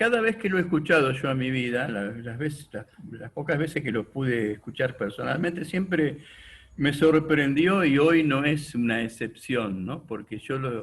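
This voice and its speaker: In a normal speaking voice, this man's fairly high pitch rises and falls with lively intonation as he moves along at a moderate pace. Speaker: radio host. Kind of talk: radio interview questions.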